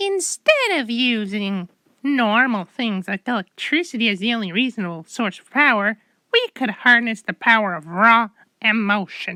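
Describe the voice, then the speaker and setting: A woman performs a cartoonish character voice at a fairly high pitch and moderate pace. The sound is dry and close, with no echo. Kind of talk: comic overacting. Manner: stammering, rambling, overeager.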